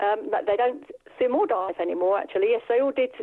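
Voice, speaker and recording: The speaker is a woman. Her accent is southern English. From England, Bedfordshire. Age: 60s. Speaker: masters diver. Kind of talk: interview. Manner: hesitant.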